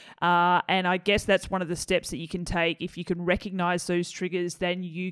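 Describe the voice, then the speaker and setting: A woman with an Australian accent. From Australia (Tasmania). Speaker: podcast host. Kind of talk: interview. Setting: video call. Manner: laughing, sarcastic tone.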